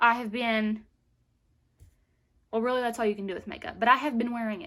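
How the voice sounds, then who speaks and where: With a Southern US accent, a woman talks at a fairly quick pace in a fairly high pitch. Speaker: beauty vlogger. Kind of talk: product review vlog. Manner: animated.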